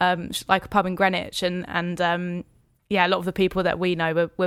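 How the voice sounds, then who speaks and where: In a southern English accent, a woman speaks with a fairly low pitch and monotone, flat intonation on a very clean recording with a silent background. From Hertfordshire, England. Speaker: singer-songwriter and keys player. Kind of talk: casual interview.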